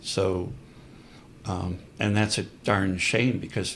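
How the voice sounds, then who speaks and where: A somewhat breathy male voice. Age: 70s. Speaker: priest and historian. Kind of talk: podcast interview.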